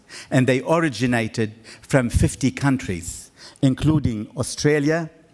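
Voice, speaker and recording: A man with a slight non-native accent talks at a moderate pace in a fairly high pitch. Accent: slight foreign. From Middle East. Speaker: awards founder. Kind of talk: formal speech. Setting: stage with audience. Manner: formal.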